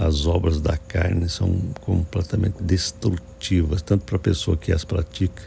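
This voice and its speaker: With noticeable background noise behind him, a soft-spoken man talks in a very deep, low voice at very even loudness and with fairly even intonation. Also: fairly slow pace, hardly any pauses. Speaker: pastor. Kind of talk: sermon. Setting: early morning at home.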